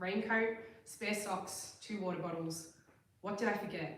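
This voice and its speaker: The speaker has an Australian accent and a moderate pace with fairly even intonation. Noticeable background noise and audible room echo fill the recording. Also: woman. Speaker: open mic poet. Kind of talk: poetry reading.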